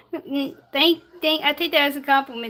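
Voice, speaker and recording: A woman projects her voice at a high pitch. She keeps a moderate pace. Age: 20s. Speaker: baking livestreamer. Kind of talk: cooking tutorial livestream. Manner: halting.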